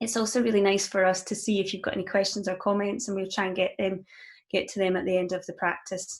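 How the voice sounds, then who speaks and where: With a Scottish accent, a woman speaks at a fairly quick pace on a very clean recording with a silent background. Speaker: mindfulness coach. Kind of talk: guided meditation introduction, livestream. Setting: live video stream. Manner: calm, gentle, with filler ums.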